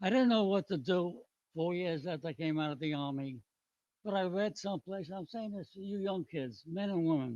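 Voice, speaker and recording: A man with a New York accent at a moderate pace, high in pitch with a dark, mellow tone and lively intonation, in a dry, close sound with no echo. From New York City, the Bronx. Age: 90s. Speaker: retired businessman and army veteran. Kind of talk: public hearing testimony. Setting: public hearing with audience.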